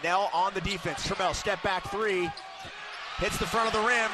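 A man's raised, projected voice at a high pitch and moderate pace, with ordinary pitch variation, over noticeable background noise. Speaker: play-by-play announcer. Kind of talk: live sports commentary, play-by-play. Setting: arena broadcast, radio.

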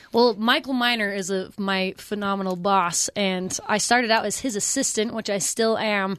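A woman talks in an ordinary speaking voice at a medium pitch and moderate pace. Her intonation stays fairly even, with hardly any pauses. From Pleasant Grove, Utah. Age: 30s. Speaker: sideline reporter. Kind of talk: radio interview.

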